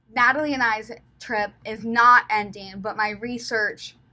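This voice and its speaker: In an American accent, a woman talks at a fairly slow pace with a bright, sharp tone and fairly even intonation. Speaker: travel vlogger and student researcher. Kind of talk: casual vlog talk to camera. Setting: hotel room. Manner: many fillers, relaxed.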